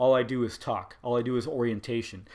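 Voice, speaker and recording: On a very clean recording with a silent background, the speaker mumbles at a very fast pace. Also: man. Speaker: wrestling podcast host. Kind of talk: solo podcast review. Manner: mumbling.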